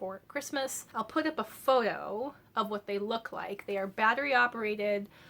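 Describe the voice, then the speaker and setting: Over noticeable background noise, a woman speaks at a fairly high pitch and a moderate pace. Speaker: book YouTuber. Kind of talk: casual vlog talk. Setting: home filming setup with studio lights. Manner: many filler ums.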